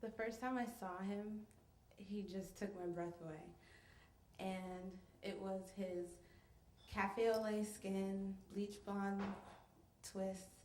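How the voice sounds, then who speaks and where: A woman with an American accent speaks very slowly in a medium pitch, with monotone, flat intonation, long, frequent pauses, and noticeable background noise. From New York. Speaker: storyteller. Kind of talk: live storytelling performance. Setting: live stage with audience.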